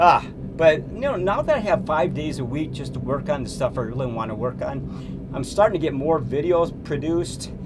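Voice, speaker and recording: A man at a moderate pace with hardly any pauses, over noticeable background noise and audible room echo. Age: 60s. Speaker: artist and sculptor. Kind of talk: casual vlog monologue. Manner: rambling, hesitant with fillers.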